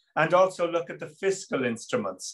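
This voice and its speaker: Fairly even intonation at a moderate pace, against a quiet background. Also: man. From Ireland. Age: 50s. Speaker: politician, Member of European Parliament; webinar panelist. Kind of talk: panel discussion. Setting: video call. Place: office. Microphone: video call.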